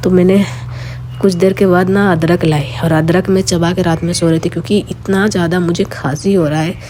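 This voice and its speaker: Noticeable background noise sits behind a woman whose fairly low voice moves at a moderate pace with ordinary pitch variation. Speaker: lifestyle vlogger. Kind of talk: casual vlog talk.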